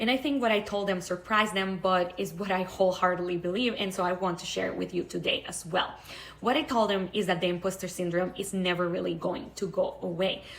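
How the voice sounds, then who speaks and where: A woman speaks fairly quickly at a medium pitch with a non-native accent. Her intonation is fairly even, and background noise is noticeable. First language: not English. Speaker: online creator, public speaker. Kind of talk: vlog monologue.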